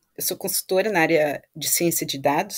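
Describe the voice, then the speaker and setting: Recorded very cleanly with a silent background, a woman uses an ordinary speaking voice at a medium pitch with ordinary pitch variation. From Brazil, Vitória, Espírito Santo. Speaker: data science consultant. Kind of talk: interview.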